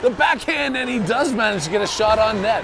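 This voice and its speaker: A man talks with ordinary pitch variation over crowd noise, and the room has an audible echo. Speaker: amateur hockey play-by-play commentator. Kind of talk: live commentary. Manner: fast, animated.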